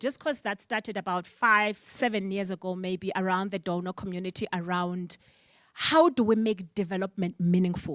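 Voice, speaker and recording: A woman with a South African accent speaks at medium pitch and a moderate pace, her sound dry and close with no echo in a very clean recording with a silent background. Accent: South African (Xhosa) English. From Eastern Cape, South Africa. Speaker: panel moderator. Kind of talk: panel discussion.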